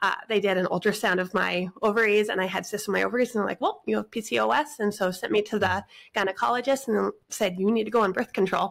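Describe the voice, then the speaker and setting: A woman with an American accent talks very fast, with hardly any pauses. Her medium-pitched voice has vocal fry and ordinary pitch variation. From western US. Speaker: guest sharing family food journey. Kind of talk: casual podcast interview.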